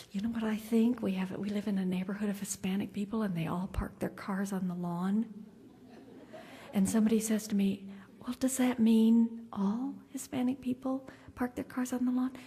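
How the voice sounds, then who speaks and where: There is a dark, mellow tone to this woman's somewhat breathy, fairly high voice, and her intonation stays fairly even. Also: moderate pace. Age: 60s. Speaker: keynote speaker. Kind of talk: keynote speech. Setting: conference luncheon with audience.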